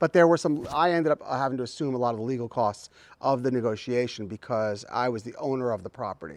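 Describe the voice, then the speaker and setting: Lively intonation runs through very fast speech. The recording is very clean, with a silent background. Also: man. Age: 60s. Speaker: vegetable farmer. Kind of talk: casual interview on farm. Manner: halting, many restarts.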